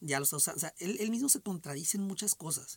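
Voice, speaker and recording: Heard dry and close with no echo, a man talks at a very fast pace. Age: 40s. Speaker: podcast host. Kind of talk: casual solo monologue. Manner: hesitant, many repetitions and fillers. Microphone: echo on the microphone.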